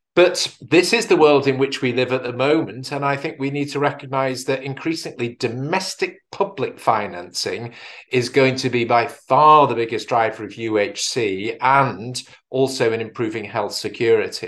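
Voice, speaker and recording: A man speaks with a British accent at medium pitch. His pitch varies in an ordinary way over a quiet background. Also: moderate pace. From UK. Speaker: health policy expert. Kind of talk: conference presentation. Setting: video call.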